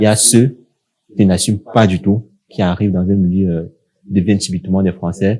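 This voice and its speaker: Speaking with a Cameroonian accent, a man with a fairly low voice talks at a moderate pace in a monotone, flat way, leaving long, frequent pauses. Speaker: young professional sharing experience. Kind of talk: casual podcast discussion.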